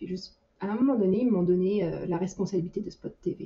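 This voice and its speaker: Her tone is dark and mellow and somewhat breathy, as this woman speaks at medium pitch with fairly even intonation. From France. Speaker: 3D artist and team lead. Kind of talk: casual interview. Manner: hesitant, frequent repetitions; laughs often.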